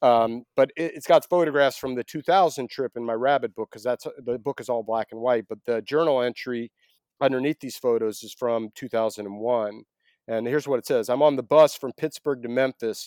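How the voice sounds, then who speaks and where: A man with an American accent has an ordinary speaking voice at medium pitch, moving at a fairly quick pace with ordinary pitch variation and big swings in loudness. The recording is very clean, with a silent background and a dry, close sound with no echo. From US South, Atlanta, Georgia. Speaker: author and photographer. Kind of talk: interview.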